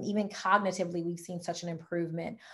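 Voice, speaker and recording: In a Louisiana accent, a woman speaks in a somewhat breathy, animated tone. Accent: Southern US (Louisiana). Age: 40s. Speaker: wellness product distributor and health coach. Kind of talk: sales presentation on video call. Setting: online video presentation with screen share. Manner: fast.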